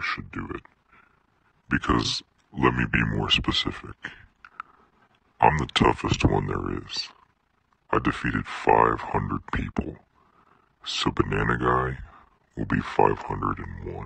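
A man speaks in a put-on character voice with a very deep, low pitch. His pace is fairly slow, broken by long, frequent pauses. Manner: cocky, menacing.

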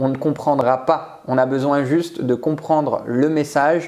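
Speaking at a fairly high pitch, a man goes at a fairly slow pace. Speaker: public speaking coach. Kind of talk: interview, coaching advice. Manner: animated. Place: home room. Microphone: lapel.

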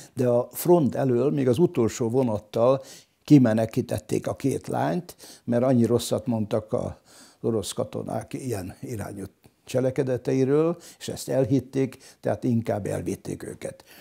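Slow-paced and dark and mellow in tone, a man speaks with vocal fry and ordinary pitch variation. The background is quiet. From Hungary, Solymár; Hungary. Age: 80s+. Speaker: local historian; interviewee. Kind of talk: interview testimony. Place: home room. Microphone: lapel.

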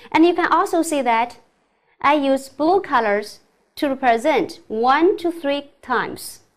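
With a Chinese accent, a woman speaks very slowly at a high pitch, her intonation lively. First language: Mandarin Chinese. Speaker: middle school English teacher. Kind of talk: lecture. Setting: recorded online class. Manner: formal.

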